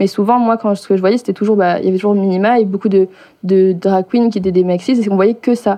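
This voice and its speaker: Speaking very fast, a woman at medium pitch keeps her intonation fairly even. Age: 20s. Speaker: drag performer. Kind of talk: casual chat.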